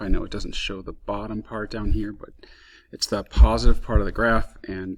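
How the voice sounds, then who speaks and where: At a moderate pace, a man speaks in a very clean recording with a silent background. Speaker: physics teacher. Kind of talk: tutorial.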